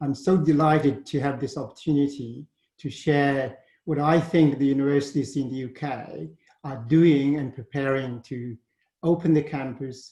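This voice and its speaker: A man's somewhat breathy, dark and mellow voice, fairly high in pitch, with a Chinese accent, a moderate pace and fairly even intonation. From China, Shandong province. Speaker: university leader. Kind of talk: presentation. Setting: webinar.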